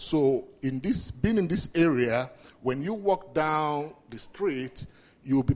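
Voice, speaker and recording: Fairly slow, lively-sounding male speech in a Nigerian accent, fairly high in pitch. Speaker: community outreach manager.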